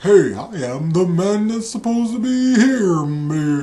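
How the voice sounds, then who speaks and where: A put-on character voice at fairly high pitch moves at a fairly slow pace. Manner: narrator-like delivery.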